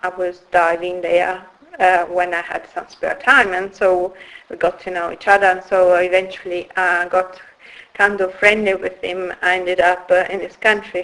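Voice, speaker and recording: Over noticeable background noise, the speaker talks at a moderate pace with an Italian accent and flat, monotone intonation. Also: woman, medium pitch for a woman. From northern Italy, Turin. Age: 50s. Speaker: founder of a women's wellbeing business. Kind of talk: interview. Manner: hesitant, many fillers.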